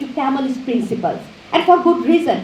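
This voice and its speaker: A woman with a Bengali accent, very wide pitch swings, audible room echo and noticeable background noise. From Bangladesh. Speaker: professor. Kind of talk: lecture. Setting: auditorium with audience. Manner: halting.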